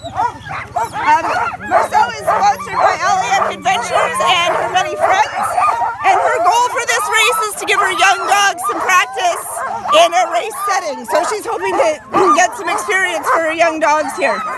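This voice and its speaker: Raising and projecting her extremely high voice over crowd noise, a woman speaks at a moderate pace with lively intonation. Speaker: race announcer. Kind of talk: live event announcing. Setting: outdoors, poor audio.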